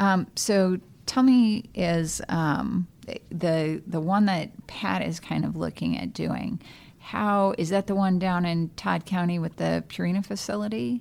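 A woman speaks in a plain, everyday voice at a fairly slow pace. Her fairly low pitch has ordinary pitch variation. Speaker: podcast host and interviewer. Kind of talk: interview conversation.

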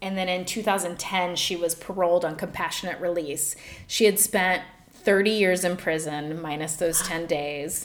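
A woman with a plain, everyday voice speaks at a fairly slow pace, her fairly low pitch held in fairly even intonation. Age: 40s. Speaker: podcast co-host and comedian. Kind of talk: casual chat with storytelling. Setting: small makeshift home studio.

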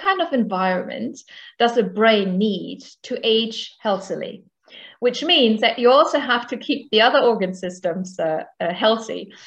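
With a German accent, a woman speaks at a moderate pace. Her fairly high pitch shows ordinary pitch variation. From rural Germany. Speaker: professor of medicine and geriatrician. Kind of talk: interview.

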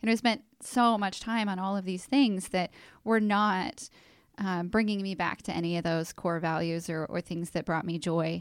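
A woman's unremarkable speaking voice at a medium pitch and moderate pace, ordinary pitch variation, on a very clean recording with a silent background. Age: 40s. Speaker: podcast host and marketing agency owner. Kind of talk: casual interview.

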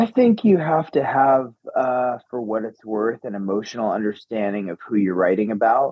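Using a plain, everyday voice with an American accent, a man talks at a moderate pace and medium pitch, with ordinary pitch variation and hardly any pauses. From upstate New York. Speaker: actor and filmmaker. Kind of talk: interview.

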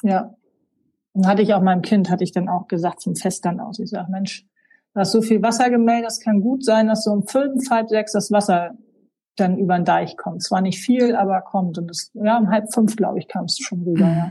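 A woman speaks at a fairly quick pace with a medium pitch and fairly even intonation. Her tone is dark and mellow, and somewhat breathy. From North Frisia, Hallig Hooge (northern Germany). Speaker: island gallery owner and holiday landlord. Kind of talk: casual interview.

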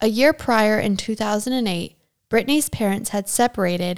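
A woman talks at a moderate pace, her pitch medium with ordinary variation. It is an unremarkable speaking voice on a very clean recording with a silent background. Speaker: true crime podcast host. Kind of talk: true-crime narration read from researched sources. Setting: living in Germany. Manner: steady, serious, even-paced storytelling delivery.

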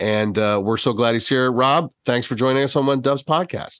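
Against a quiet background, a man with an American accent speaks at medium pitch with ordinary pitch variation. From US Midwest. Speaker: podcast host. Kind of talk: casual interview chat. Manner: halting, many fillers and restarts.

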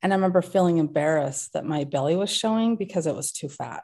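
A woman's fairly low-pitched, dark, mellow voice at a fairly quick pace against a quiet background. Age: 40s. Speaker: speech therapist, former coaching client. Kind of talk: interview conversation.

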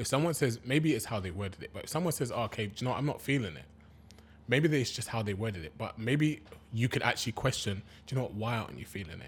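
Talking very fast in a London accent, a man uses a medium pitch and lively intonation. His loudness swings widely, and vocal fry creeps in. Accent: London multicultural English. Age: 30s. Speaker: podcast co-host. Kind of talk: casual chat.

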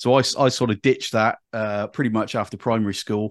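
A man at medium pitch and moderate pace, recorded dry and close with no echo. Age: 50s. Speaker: executive search recruiter. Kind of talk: interview. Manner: animated.

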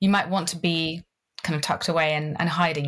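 A woman speaks with a British accent in a fairly low pitch. Her voice is somewhat breathy, with ordinary pitch variation. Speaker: connection coach. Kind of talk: casual interview.

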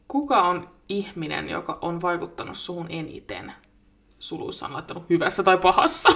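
Woman at a moderate pace, with big swings in loudness over noticeable background noise. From Finland, Vantaa area. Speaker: podcast co-host. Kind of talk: casual chat. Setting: home studio.

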